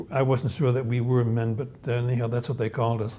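A man speaks at a medium pitch with fairly even intonation. His tone is dark and mellow.

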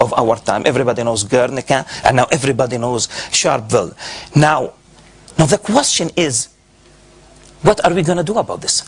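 A man with an Arabic accent talks at a moderate pace. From Gaza, Palestine. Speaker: professor. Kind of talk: lecture. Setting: stage with audience. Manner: animated. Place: hall. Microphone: podium.

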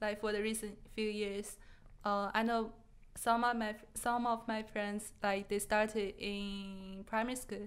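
A woman speaks at a fairly slow pace with a Chinese accent. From China. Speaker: podcast guest. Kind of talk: casual chat; interview answer. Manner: halting. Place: studio. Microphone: studio mic.

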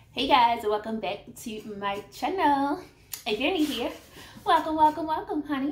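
Light background noise and audible room echo surround a woman speaking. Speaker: eating vlogger. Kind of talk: casual vlog chat. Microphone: phone near.

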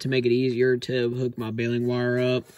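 Moderate pace in a dry sound with no echo, with light background noise. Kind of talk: casual repair commentary. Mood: wry, mildly frustrated. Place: garage. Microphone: phone near.

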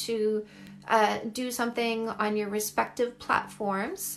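A woman with a Canadian accent talks at a very slow pace. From Canada. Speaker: dating coach. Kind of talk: livestream Q&A with viewers. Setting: live video stream from home. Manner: warm, affectionate. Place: home room. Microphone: phone near.

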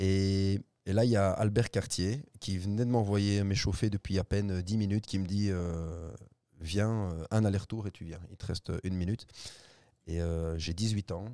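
Fairly low-pitched with a dark, mellow tone, a man speaks at a fairly slow pace with fairly even intonation, in a dry sound with no echo against a quiet background. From Belgium. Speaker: former footballer; guest. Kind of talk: interview. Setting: studio. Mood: relaxed, reflective. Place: studio. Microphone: studio mic.

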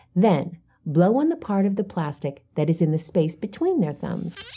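Her voice is somewhat breathy, with a dark, mellow tone. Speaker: teacher-guide presenter. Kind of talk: instructional narration. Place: studio. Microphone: lapel.

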